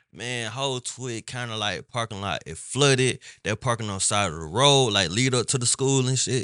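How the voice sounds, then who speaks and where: Against a quiet background, a man with a medium pitch speaks at a moderate pace with hardly any pauses, using a bright, sharp tone and ordinary pitch variation. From Twiggs County, Georgia. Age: 30s. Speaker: podcast host. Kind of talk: casual interview.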